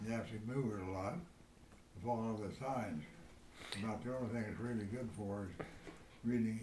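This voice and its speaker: Over noticeable background noise, a man speaks at a moderate pace and medium pitch with ordinary pitch variation. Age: 80s+. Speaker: retired newspaper man. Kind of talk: interview answer.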